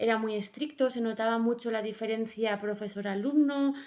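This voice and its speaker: This woman's voice sits fairly high and shows ordinary pitch variation. She talks at a moderate pace. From Basque Country, Bilbao. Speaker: master's student interviewer. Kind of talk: student interview. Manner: halting.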